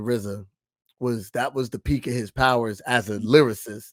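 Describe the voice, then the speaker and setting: Speaking in an animated tone with an American accent, a man holds a medium pitch. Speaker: rapper. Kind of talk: interview.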